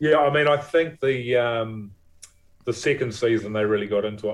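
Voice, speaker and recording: A man's medium-pitched voice with a New Zealand accent, at a moderate pace. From New Zealand, Levin. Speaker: actor and film producer. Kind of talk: casual interview chat.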